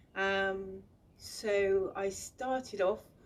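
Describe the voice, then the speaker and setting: Speaking in a strong Bristolian accent, a woman uses a medium pitch with ordinary pitch variation. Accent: thick Bristolian. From England, Bristol. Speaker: author and illustrator. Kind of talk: recorded video talk. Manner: halting.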